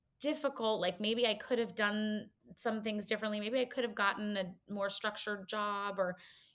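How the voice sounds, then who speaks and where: A woman talks at a moderate pace with a fairly high pitch and a normal speaking voice. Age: 40s. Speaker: chronic illness advocate, founder. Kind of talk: podcast interview.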